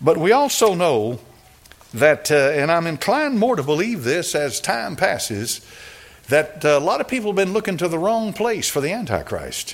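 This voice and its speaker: Noticeable background noise accompanies a man talking at a moderate pace with a high pitch and very wide pitch swings. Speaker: preacher. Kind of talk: sermon. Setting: church.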